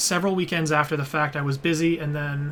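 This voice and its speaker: The delivery is moderate in pace and relaxed in tone. Intonation stays monotone and flat. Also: man. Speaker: game streamer. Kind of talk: casual live-stream commentary while playing. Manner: relaxed, hesitant.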